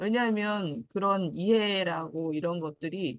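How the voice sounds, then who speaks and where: A woman speaks in a plain, everyday voice at a medium pitch with lively intonation. The sound is dry and close, with no echo. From Jeju Island, South Korea. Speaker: guest sharing personal story. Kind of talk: casual talk.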